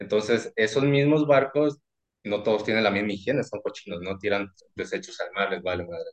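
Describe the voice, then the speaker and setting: His intonation is lively. The man keeps to a moderate pace. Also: fairly low pitch for a man. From Mexico, Sinaloa. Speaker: ship technician. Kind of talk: casual chat. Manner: less loud than before.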